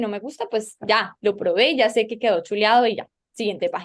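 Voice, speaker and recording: A woman's pitch is fairly high and varies in an ordinary way, in an ordinary speaking voice. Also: very clean recording, silent background. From Colombia. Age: young. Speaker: political journalist. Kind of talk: interview.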